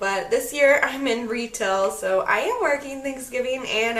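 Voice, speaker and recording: Amid noticeable background noise and audible room echo, a woman with a high pitch speaks at a fairly slow pace. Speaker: beauty vlogger. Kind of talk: makeup tutorial. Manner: casual, chatty.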